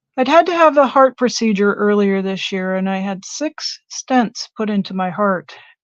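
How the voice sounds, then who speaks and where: A woman talks at a moderate pace with medium pitch, lively intonation and hardly any pauses. The sound is dry and close with no echo, and the background is quiet. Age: 60s. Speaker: artist and crafter. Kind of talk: casual chat. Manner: halting.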